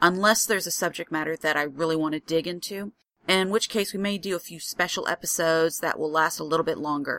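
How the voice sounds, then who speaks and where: Talking at a very fast pace, a woman with an American accent has a fairly low pitch, a bright, sharp tone and fairly even intonation, in a dry, close sound with no echo. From US Midwest, rural Illinois. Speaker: podcast host. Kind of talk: solo podcast monologue. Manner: informal.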